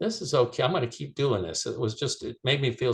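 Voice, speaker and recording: Somewhat breathy speech at a fairly quick pace against a quiet background. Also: man. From South Florida. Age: 70s. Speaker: author. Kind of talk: classroom Q&A interview. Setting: video call. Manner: halting with frequent fillers and restarts.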